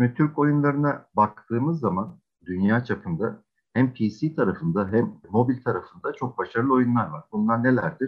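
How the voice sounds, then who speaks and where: A plain, everyday voice of a man, mid-range in pitch, moderate in speed, with lively intonation. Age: 40s. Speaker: games and esports agency executive. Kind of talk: interview.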